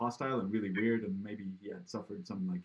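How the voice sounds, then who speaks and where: A man talks at a fairly quick pace. He has a slight Swedish accent. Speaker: podcast interviewer. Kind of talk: casual interview chat. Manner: halting with fillers.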